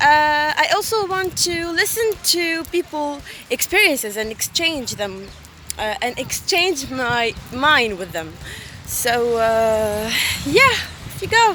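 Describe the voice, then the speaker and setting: Over noticeable background noise, a woman projects a raised, high voice with very wide pitch swings. She speaks at a very slow pace. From Tunisia. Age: 20s. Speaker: student. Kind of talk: self-introduction video. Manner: halting.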